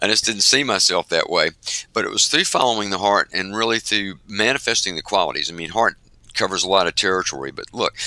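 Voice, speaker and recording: A man's fairly low voice, very fast, bright and sharp in tone, with ordinary pitch variation and a dry, close sound with no echo. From US South. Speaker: organization executive and author. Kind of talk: interview.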